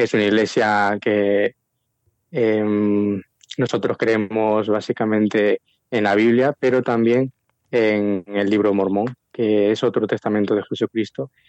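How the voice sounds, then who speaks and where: Here a man speaks with a fairly low pitch. His delivery is fairly slow and monotone, flat in intonation. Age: 20s. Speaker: prospective missionary. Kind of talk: interview. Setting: phone call.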